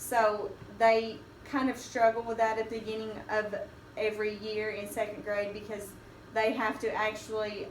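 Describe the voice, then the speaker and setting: The speaker has a Southern US accent and keeps a moderate pace. Background noise is noticeable. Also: woman. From Kentucky. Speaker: elementary school teacher. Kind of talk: academic presentation.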